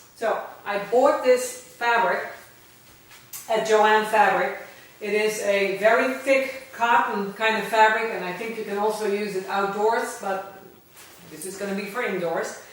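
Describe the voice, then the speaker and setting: Over noticeable background noise and audible room echo, a woman with a slight Dutch accent speaks fairly slowly at a fairly high pitch, her intonation fairly even and her loudness swinging widely. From Netherlands. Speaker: vlogger, registered nurse. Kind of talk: casual vlog talk. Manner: hesitant, with fillers.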